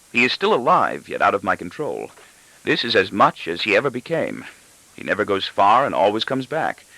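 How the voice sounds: The voice is a natural reading voice. Its intonation sounds lively.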